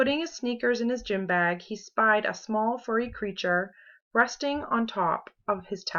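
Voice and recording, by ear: The surroundings are quiet. A passage is read aloud in a natural voice.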